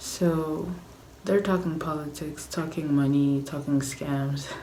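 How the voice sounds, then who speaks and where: A soft-spoken woman whispers at a very slow pace, with audible echo in the room. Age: 20s. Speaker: vlogger. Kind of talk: casual vlog chat. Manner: whispering, soft.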